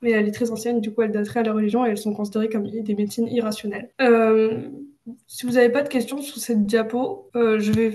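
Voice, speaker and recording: A dark, mellow voice speaks at a very fast pace. The intonation stays monotone and flat. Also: woman. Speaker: student tutor. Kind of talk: lecture. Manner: hesitant, many fillers.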